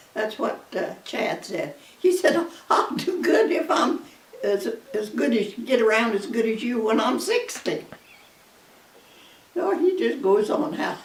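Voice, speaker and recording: The speech comes at a fairly slow pace with very wide pitch swings and long, frequent pauses, plus audible room echo and noticeable background noise. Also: woman, high pitch for a woman. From US Midwest, Kansas. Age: 90s. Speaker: grandmother. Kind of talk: casual chat.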